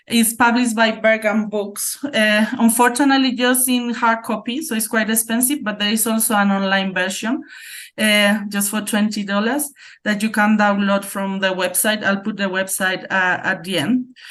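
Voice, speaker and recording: Someone with a Spanish accent talks at a moderate pace with fairly even intonation. The background is quiet. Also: woman, fairly high pitch for a woman. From Spain. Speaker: academic researcher. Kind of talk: conference presentation.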